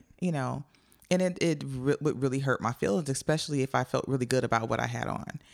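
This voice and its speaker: A woman with an American accent speaks very fast in a very deep, low voice with vocal fry and ordinary pitch variation. The recording is very clean and silent in the background, with a dry, close sound with no echo. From Joliet, Illinois, near Chicago. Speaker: improv comedian. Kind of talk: casual chat.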